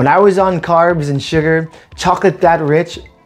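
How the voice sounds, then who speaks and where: Faint music sits in the background. Over it, a man's pace is moderate and his pitch varies ordinarily. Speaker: cooking channel host. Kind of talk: tutorial. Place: kitchen.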